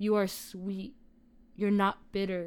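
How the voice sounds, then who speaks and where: In a very clean recording with a silent background, a woman with a medium pitch speaks at a fairly slow pace. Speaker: podcast host. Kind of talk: casual podcast conversation.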